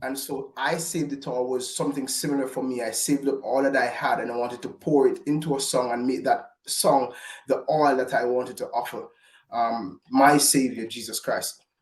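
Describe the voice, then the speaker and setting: In a strong Jamaican accent, a man speaks at a moderate pace. His pitch is medium and his intonation fairly even. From Jamaica, Falmouth. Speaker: gospel recording artist. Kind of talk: interview. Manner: halting.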